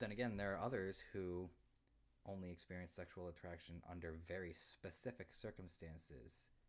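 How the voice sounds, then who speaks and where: A man with an American accent talks at a moderate pace, his pitch very deep and low. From Massachusetts, US. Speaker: streamer. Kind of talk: live stream Q&A chat. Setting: live stream. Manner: halting; mumbling.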